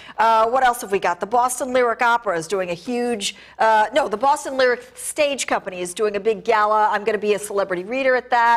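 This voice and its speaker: A woman talks at a very fast pace with hardly any pauses, a fairly high pitch and ordinary pitch variation against a quiet background. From New England. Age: 50s. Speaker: arts and entertainment critic; guest. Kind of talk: TV interview. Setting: TV studio. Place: studio. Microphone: lapel.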